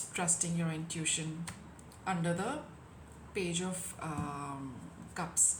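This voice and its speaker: A woman with a fairly low pitch and fairly even intonation, very slow pace, long, frequent pauses, and audible room echo. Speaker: tarot reader. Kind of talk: tarot reading.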